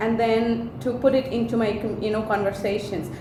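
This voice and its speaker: With a Tamil accent, a woman speaks at a moderate pace in a fairly high pitch, with audible room echo and noticeable background noise. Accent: Indian (Tamil) English. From India, Chennai (Tamil Nadu). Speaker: vlogger, hotel industry worker. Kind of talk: casual vlog advice talk.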